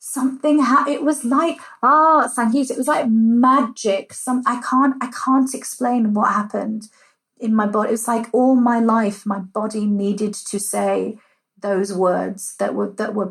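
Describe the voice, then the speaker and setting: A woman speaks at a fairly slow pace in a fairly high voice, with ordinary pitch variation. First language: Punjabi. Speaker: cultural heritage organiser. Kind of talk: interview conversation. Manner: animated.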